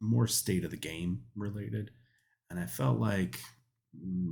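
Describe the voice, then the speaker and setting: A man speaks with vocal fry. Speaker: gaming youtuber. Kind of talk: casual commentary. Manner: hesitant with fillers.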